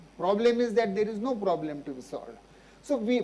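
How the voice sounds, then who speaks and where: In audible room echo, a man speaks at a moderate pace. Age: 70s. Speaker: physician and social activist. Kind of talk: Q&A after a public lecture.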